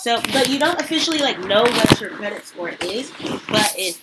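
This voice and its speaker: A woman speaks with an American accent in an animated tone. Her pace is moderate. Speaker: podcast host. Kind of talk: casual interview conversation.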